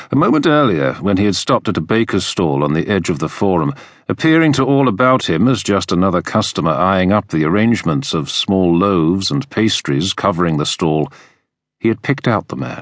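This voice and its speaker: A man speaks with a very deep, low pitch at a fairly quick pace. His pitch swings very widely. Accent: British. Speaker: audiobook narrator. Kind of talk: dramatic audiobook narration of a historical thriller, read aloud. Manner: tense, measured storytelling pace, building suspense.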